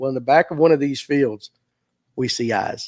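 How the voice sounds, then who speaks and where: A man with a Southern US accent speaks at a medium pitch and a fairly quick pace, his animated tone carrying ordinary pitch variation, in a very clean, dry, close recording with a silent background and no echo. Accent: Southern US (Georgia). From US South, Forsyth County, Georgia. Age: 50s. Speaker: fishing show host. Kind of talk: casual livestream chat. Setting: live stream. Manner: animated storytelling.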